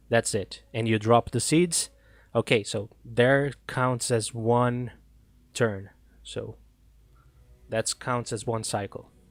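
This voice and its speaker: Speaking with a non-native accent at a very slow pace, a man leaves long, frequent pauses and keeps a fairly even intonation, the very clean recording sounding dry and close with no echo over a silent background. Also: medium pitch for a man. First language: not English. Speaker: gaming streamer. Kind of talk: live stream commentary. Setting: live stream.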